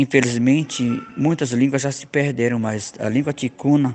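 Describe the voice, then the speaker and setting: Fairly even intonation marks this man's speech at a medium pitch. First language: Tikuna (speaking Portuguese). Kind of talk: interview answers.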